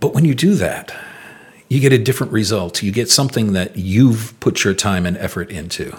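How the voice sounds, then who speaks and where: A man speaks at a fairly low pitch with lively intonation. His voice is somewhat breathy, and his pace is moderate. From Rhode Island. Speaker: historical reenactor and historian. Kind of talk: interview storytelling.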